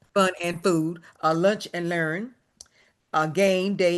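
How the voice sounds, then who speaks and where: A woman with an ordinary speaking voice talks at a fairly low pitch with fairly even intonation. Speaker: retired educator, association member. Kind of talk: workshop presentation. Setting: video call.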